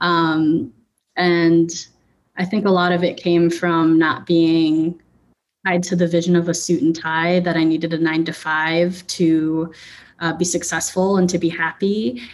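In an American accent, a woman talks at a fairly slow pace with a fairly low pitch and monotone, flat intonation. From Chicago suburbs, US Midwest. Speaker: clothing brand founder. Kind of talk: casual interview.

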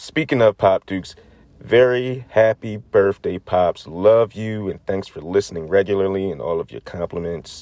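Here a man has a plain, everyday voice, pitched fairly low and moving at a moderate pace with ordinary pitch variation, in a dry, close sound with no echo. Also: big swings in loudness. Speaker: podcast host. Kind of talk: casual chat. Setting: studio.

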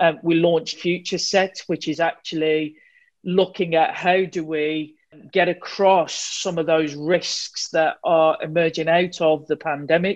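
A woman talks at a fairly slow pace in a fairly low pitch, her intonation monotone and flat, against a quiet background. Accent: West Midlands. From Wolverhampton, West Midlands England. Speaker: insurance digital executive. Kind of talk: panel discussion.

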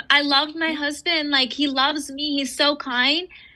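A woman's raised, projected voice, high-pitched with a bright, sharp tone, fairly even intonation and a fairly slow pace. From raised in the West, Eastern heritage family. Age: 40s. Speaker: author and entrepreneur. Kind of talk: casual interview chat.

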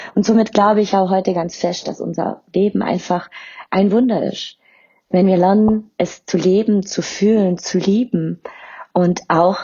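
A woman speaks at a fairly slow pace in a somewhat breathy, medium-pitched voice with fairly even intonation. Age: 30s. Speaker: podcast host and spiritual medium. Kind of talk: personal introduction monologue.

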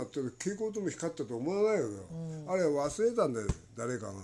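A man talks with a dark, mellow tone. His pitch swings very widely as he goes at a fairly quick pace. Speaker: spiritual teacher. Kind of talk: casual chat.

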